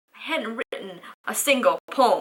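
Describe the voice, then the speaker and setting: A woman projects a raised voice, the sound dry and close with no echo. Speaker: spoken word poet. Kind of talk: spoken word poetry performance.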